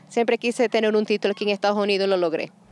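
A woman talks at a very fast pace in a medium-pitched voice, with a slightly mellow tone and fairly even intonation.

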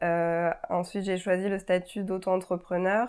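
Against a quiet background, a woman talks at a fairly slow pace in a fairly low pitch, her intonation monotone and flat. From France, Auvergne (Clermont-Ferrand); Auvergne, France. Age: 30s. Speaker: architect. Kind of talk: interview. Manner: hesitant, many fillers. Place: office. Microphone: lapel.

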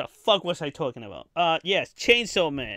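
A man's fairly high-pitched voice with a bright, sharp tone and big pitch swings.

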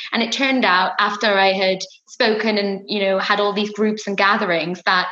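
Fairly even in intonation, a woman talks with audible room echo against a quiet background. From Wales. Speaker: fashion brand founder. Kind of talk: interview. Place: home room. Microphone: webcam.

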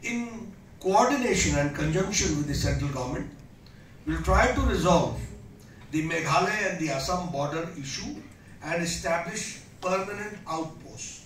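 Light background noise and audible room echo around a man's high voice, moderate in pace, with ordinary pitch variation. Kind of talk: political speech. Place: hall. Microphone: podium.

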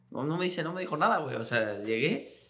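A man talks at a very fast pace. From Mexico. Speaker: professional footballer; guest. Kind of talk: casual chat. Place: studio. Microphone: studio mic.

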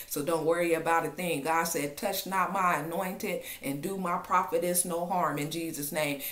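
Speaking at a moderate pace, a woman uses a fairly low pitch with ordinary pitch variation. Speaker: online prophetic minister. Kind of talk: fervent prophetic exhortation, declaring God's protection over listeners. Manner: impassioned and insistent, repeating 'in Jesus' name' like a refrain; warm, intimate address to listeners as family. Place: home room. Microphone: webcam.

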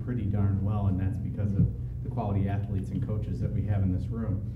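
Loud background noise runs throughout. A man's voice comes through it. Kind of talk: formal announcement speech. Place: meeting room. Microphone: podium.

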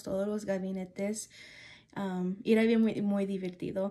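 A woman's dark, mellow voice at a fairly slow pace, with monotone, flat intonation. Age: 20s. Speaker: student. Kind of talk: class assignment monologue. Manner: halting. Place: home room. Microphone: phone near.

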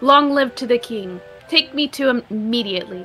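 Using a put-on character voice, a woman speaks at a high pitch over clear music in the background. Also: moderate pace. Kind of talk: formal, courtly. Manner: regal, commanding.

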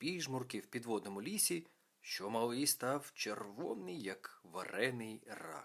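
In a natural reading voice, the intonation rises and falls in a lively way.

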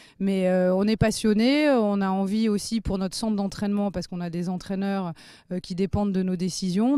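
A woman speaks at a medium pitch and moderate pace, her tone dark and mellow. Her intonation is fairly even, and the recording is very clean with a silent background. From southwest France, Gironde coast. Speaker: racecourse vice-president. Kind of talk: interview.

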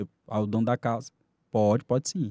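A man's dark, mellow voice at a fairly quick pace, with a dry, close sound and no echo. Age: 30s. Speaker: criminal lawyer. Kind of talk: podcast interview.

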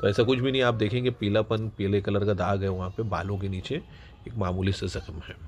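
A man with a fairly low pitch speaks at a fairly quick pace, his slightly mellow tone showing little pitch movement.

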